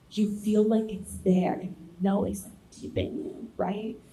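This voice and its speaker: A woman speaks at a medium pitch and a fairly slow pace. Her pitch variation is ordinary, and audible room echo surrounds her. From US, child of immigrants. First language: Spanish. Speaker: panelist. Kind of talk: panel discussion.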